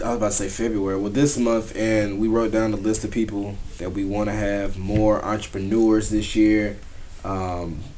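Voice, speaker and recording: Moderate pace from a man with a fairly low pitch, plus audible room echo. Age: 30s. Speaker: podcast host. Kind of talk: casual chat.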